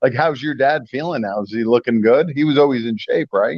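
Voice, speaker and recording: A man speaks with an American accent at a medium pitch. He has an ordinary speaking voice with ordinary pitch variation. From upstate New York. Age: 60s. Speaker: radio host. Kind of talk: casual interview.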